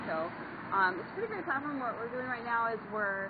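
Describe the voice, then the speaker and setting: Over noticeable background noise and audible room echo, a woman talks at a fairly quick pace with ordinary pitch variation. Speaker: nonprofit campaign organizer. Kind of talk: pitch to a public meeting. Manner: soft-spoken.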